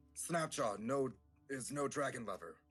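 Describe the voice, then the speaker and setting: This man puts on a character voice, pitched in his medium range and delivered at a moderate pace. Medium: actual play. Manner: halting broken speech.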